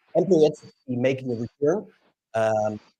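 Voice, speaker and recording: A man talks at a moderate pace with a Dutch accent and ordinary pitch variation. The sound is dry and close, with no echo. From Netherlands. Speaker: LinkedIn expert. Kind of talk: live stream panel discussion. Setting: live stream.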